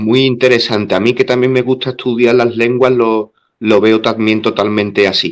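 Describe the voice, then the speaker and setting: A man speaks with monotone, flat intonation at a medium pitch. His pace is moderate and his loudness very even. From southern Spain. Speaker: interviewer. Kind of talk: interview.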